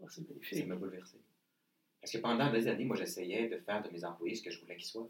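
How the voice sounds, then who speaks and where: In a Quebec accent, a man of medium pitch talks very fast with lively intonation and big swings in loudness. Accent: Québécois French. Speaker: leadership trainer and author. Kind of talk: interview.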